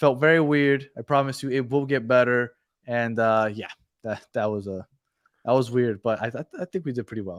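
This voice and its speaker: Speaking with a Spanish accent, a man uses a medium pitch and ordinary pitch variation. The sound is dry and close, with no echo. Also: moderate pace. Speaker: football podcast co-host. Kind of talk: live postgame stream chat.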